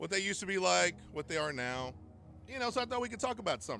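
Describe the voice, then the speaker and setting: Over music in the background, a man with an American accent talks at a very fast pace with very wide pitch swings. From Texas, Terrell. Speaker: podcast host. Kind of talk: casual solo podcast talk.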